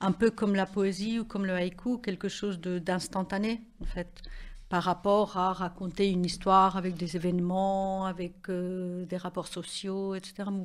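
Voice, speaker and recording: Here a woman speaks at medium pitch. Her pace is fairly slow. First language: not French (speaking French). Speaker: writer. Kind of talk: radio interview. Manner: hesitant, many fillers.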